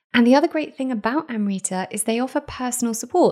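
Fairly quick speech in a British accent carries lively intonation. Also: woman. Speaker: podcast host. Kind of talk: casual chat.

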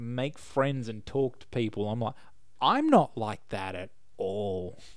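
This recording is very clean, with a silent background. The speaker is a man with an Australian accent. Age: 30s. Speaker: podcast host. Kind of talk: casual chat.

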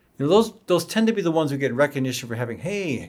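Racing along at a very fast pace, a man's voice makes very wide pitch swings. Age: 60s. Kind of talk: interview. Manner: halting, repeats words.

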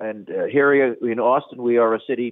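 A man with a New York accent at a moderate pace. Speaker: priest. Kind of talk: radio interview.

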